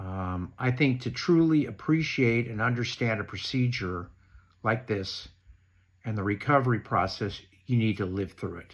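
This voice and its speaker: Against a quiet background, a man with an unremarkable speaking voice talks at a moderate pace, medium pitch and ordinary pitch variation. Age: 60s. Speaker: knee replacement patient sharing advice. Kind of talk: prepared talk read from notes.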